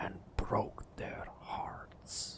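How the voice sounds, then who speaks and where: A man's whisper, very slow in pace. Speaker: ASMR artist. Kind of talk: ASMR gameplay narration. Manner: soft-spoken, whispered.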